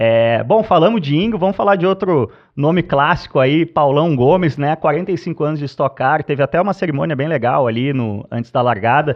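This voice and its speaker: With an unremarkable speaking voice, a fairly high-pitched man talks at a fairly quick pace with lively intonation and hardly any pauses. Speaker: podcast host, motorsport commentator. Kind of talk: casual podcast chat.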